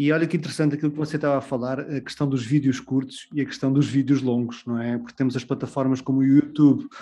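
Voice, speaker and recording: A man's fairly high-pitched voice, dark and mellow in tone, with a European Portuguese accent and a flat, monotone delivery. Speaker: podcast co-host. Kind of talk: podcast interview.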